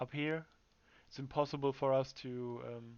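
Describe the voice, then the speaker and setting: A man with a German accent speaks at a fairly high pitch. His intonation is monotone and flat. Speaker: gamer and team captain. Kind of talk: tactical briefing to teammates. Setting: livestream. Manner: halting, many fillers and repetitions.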